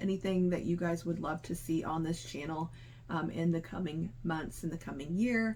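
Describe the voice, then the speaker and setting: A woman with a fairly low pitch sounds somewhat breathy. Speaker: crochet youtuber. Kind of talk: casual vlog talk to camera. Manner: fast-talking by habit; hesitant, many fillers.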